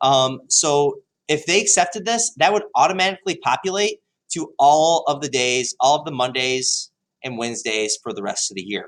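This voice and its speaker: A man with a fairly high pitch, an animated, enthusiastic tone and very wide pitch swings at a moderate pace. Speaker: high school history teacher. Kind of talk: tutorial. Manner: hesitant with many fillers.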